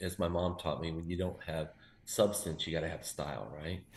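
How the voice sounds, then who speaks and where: A man talks at a very fast pace in a very deep, low pitch. His voice is somewhat breathy. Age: 50s. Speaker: BMX team manager and founder. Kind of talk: casual interview. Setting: video call.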